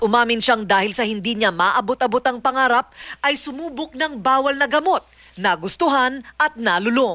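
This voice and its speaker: A woman's high, bright, sharp voice with lively intonation at a moderate pace, dry and close with no echo against a quiet background. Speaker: TV news correspondent. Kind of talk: TV news report narration.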